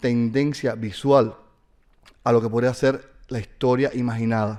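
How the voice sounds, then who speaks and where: A man in a Latin American accent speaks fairly slowly at medium pitch, with a dark, mellow tone and ordinary pitch variation. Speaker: university professor and novelist. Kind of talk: lecture. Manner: halting, many fillers.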